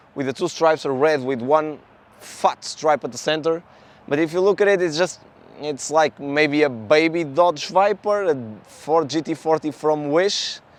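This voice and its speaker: A man speaks with a Portuguese accent at a moderate pace. His pitch is fairly high, with ordinary variation. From Portugal. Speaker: car YouTuber. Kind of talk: casual vlog talk.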